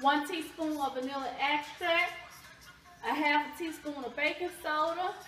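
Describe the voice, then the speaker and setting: In a Southern US accent, a woman speaks at a high pitch and a fairly slow pace with audible room echo. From US South. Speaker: cooking channel host. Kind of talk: cooking tutorial. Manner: animated.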